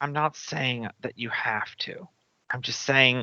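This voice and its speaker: A put-on character voice, raspy and low-to-middle in pitch, moves along at a fairly slow pace. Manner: angry, yelling.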